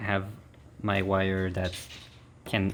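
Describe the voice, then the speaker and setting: Slowly, at a fairly slow pace, a man with a French accent speaks in a very deep, low pitch. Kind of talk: DIY repair tutorial. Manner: casual, hesitant with fillers.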